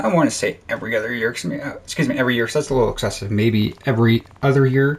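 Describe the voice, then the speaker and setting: An American-accented man mumbles his words. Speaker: gaming video creator. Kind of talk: casual gameplay commentary. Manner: mumbling.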